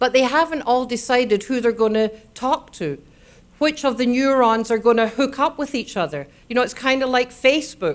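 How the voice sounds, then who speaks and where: The recording is very clean with a silent background. A woman with a Scottish accent speaks at a high pitch and moderate pace, with ordinary pitch variation. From Scotland. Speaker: neuroscience speaker. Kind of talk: public lecture. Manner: animated.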